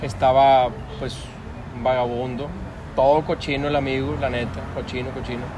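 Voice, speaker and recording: Speaking at a moderate pace with long, frequent pauses, a man keeps his medium-pitched voice fairly even in intonation. Audible room echo and noticeable background noise fill the recording. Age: 30s. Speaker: interviewee. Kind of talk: casual interview.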